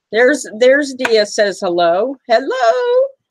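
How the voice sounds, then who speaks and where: Her voice is high for a woman, and she speaks at a fairly slow pace. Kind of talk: casual live-stream chat with viewers, auction host. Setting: online live stream.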